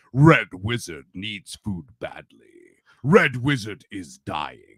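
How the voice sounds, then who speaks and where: A man puts on a character voice with a dramatic tone. He speaks at medium pitch and a very slow pace. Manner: dramatic, announcing.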